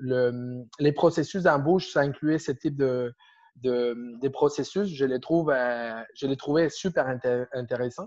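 The speaker is a man with a Spanish accent and ordinary pitch variation. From Argentina. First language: Spanish (speaking French). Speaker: agile coach. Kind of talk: interview. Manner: halting.

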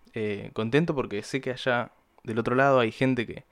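A man at a moderate pace with fairly even intonation, in a very clean recording with a silent background. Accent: Argentine. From Buenos Aires province, Argentina. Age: young. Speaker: podcaster. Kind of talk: casual monologue. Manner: hesitant, many fillers and repeated words.

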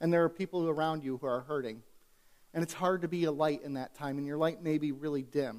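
Fairly quick delivery from a man, pitched fairly high, his pitch varying in an ordinary way. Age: 30s. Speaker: pastor. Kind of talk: sermon.

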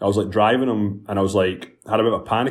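The speaker is a man. He has a fairly low pitch. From Scotland. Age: 30s. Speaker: entrepreneur and app founder. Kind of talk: casual podcast interview. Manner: chatty, frequent fillers and repetitions.

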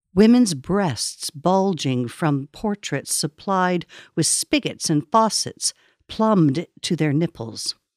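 The speaker uses a solemn tone at a very slow pace, with very wide pitch swings. The sound is dry and close with no echo, in a very clean recording with a silent background. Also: woman, fairly low pitch for a woman. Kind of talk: poetry reading. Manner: solemn, slow, hushed.

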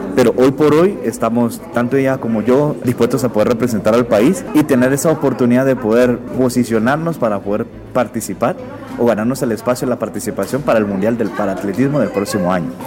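A man at medium pitch, a fairly quick pace and ordinary pitch variation, with noticeable background noise. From Guatemala. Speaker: Paralympic athlete. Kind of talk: radio interview.

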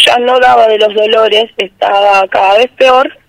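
This woman has a plain, everyday voice, fairly high in pitch, with ordinary pitch variation and a fairly slow pace. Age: 20s. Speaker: local resident making a complaint. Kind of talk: radio interview testimony.

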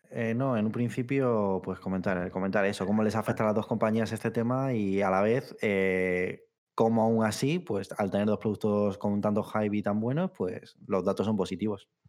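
This man has an ordinary speaking voice, fairly low in pitch, moving at a moderate pace with hardly any pauses, very even loudness and fairly even intonation. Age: 30s. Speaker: video game podcast co-host. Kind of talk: casual chat.

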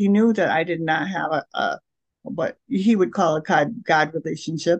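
A woman with a normal speaking voice, a fairly slow pace and lively intonation, in dry, close sound with no echo. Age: 60s. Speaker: spiritual director. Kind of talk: interview testimony.

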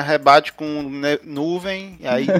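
His intonation is fairly even and his pitch fairly high. The man speaks at a very slow pace. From Ceará, northeastern Brazil. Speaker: podcast co-host. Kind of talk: casual chat.

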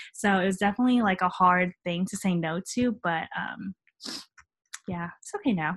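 Moderate pace and ordinary pitch variation in a dry, close sound with no echo. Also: woman, medium pitch for a woman. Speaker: medical student. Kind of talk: casual interview.

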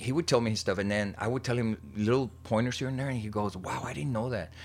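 In an American accent, a man speaks at a fairly low pitch with ordinary pitch variation. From South Texas. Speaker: art teacher and artist. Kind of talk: casual interview. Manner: frequent hesitations and code-switching into Spanish.

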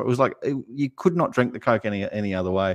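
Against a quiet background, a man with an Australian accent speaks with lively intonation in a dry, close sound with no echo. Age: 40s. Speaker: basketball YouTube channel co-host. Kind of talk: casual chat.

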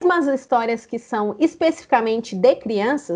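Speaking at a fairly slow pace, a woman uses a high pitch that moves in very wide swings. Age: 30s. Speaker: storyteller and storytelling teacher. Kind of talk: interview.

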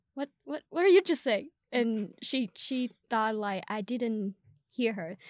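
A woman with a Vietnamese accent, fairly high-pitched and very slow, with lively intonation, in a dry, close sound without echo on a very clean recording with a silent background. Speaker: podcast host and student. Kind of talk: casual interview chat.

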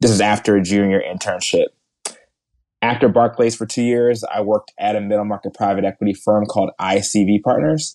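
Fast-ish and fairly even in intonation, an unremarkable speaking voice with an American accent comes through dry and close with no echo against a quiet background. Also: man, fairly low pitch for a man. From New Jersey, outside Philadelphia. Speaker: venture capital investor. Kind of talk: interview.

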